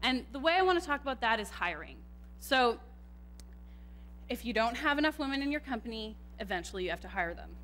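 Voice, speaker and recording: Very fast speech in a Canadian accent is broken by long, frequent pauses and big swings in loudness. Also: woman. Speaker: computer scientist and tech manager. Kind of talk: conference talk. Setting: stage with audience, microphone.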